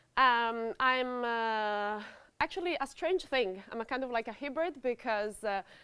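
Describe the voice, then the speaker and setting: A woman speaks with an Italian accent at a fairly high pitch. Her pace is fairly slow. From Italy. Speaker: cybercrime researcher. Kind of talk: conference talk. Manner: loud; hesitant, many fillers.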